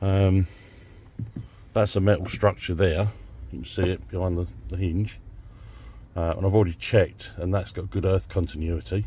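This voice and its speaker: A man with a very deep, low, somewhat breathy voice speaks in a dark, mellow tone at a moderate pace, with ordinary pitch variation. He takes long, frequent pauses, the sound is dry with no echo, and there is light background noise. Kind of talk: tutorial. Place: car.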